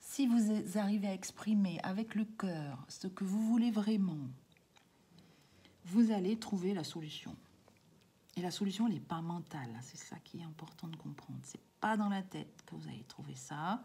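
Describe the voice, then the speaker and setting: The speaker talks at a fairly slow pace, broken by long, frequent pauses. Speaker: spiritual card reader and coach. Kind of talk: spiritual guidance reading. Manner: hesitant, many fillers.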